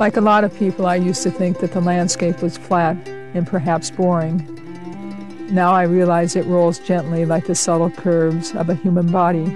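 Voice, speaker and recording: With music in the background, a woman speaks at a moderate pace with hardly any pauses, fairly low pitch, fairly even intonation and very even loudness. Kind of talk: documentary narration.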